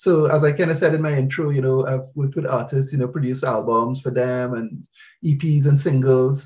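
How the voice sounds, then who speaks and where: At a moderate pace, a man with a medium-pitched, somewhat breathy voice speaks with fairly even intonation. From Trinidad. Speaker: music producer. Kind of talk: casual chat.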